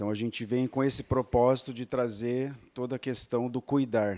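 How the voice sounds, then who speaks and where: A man is talking at a moderate pace. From São Paulo state interior, near Minas border. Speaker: inn owner. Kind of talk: business pitch at networking meeting.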